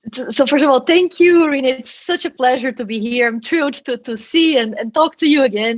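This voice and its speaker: Talking at a fairly quick pace with hardly any pauses, a woman uses a high pitch and ordinary pitch variation. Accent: Brazilian. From Brazil. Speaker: quantum engineer, professor. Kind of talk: interview.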